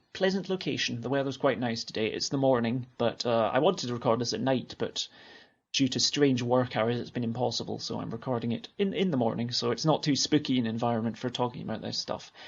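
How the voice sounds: Talking at a fairly quick pace with a Scottish accent, a man has a medium pitch, a slightly husky edge and vocal fry.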